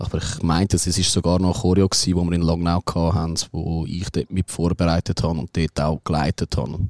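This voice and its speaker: At a fairly quick pace, a man talks in a very deep, low pitch with monotone, flat intonation and a dry, close sound with no echo. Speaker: football fan leader. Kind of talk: casual chat.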